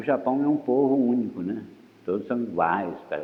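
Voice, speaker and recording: A man with a fairly low voice speaks at a moderate pace, with audible room echo. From Brazil, Espírito Santo. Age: 70s. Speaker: visual artist. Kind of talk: interview testimony.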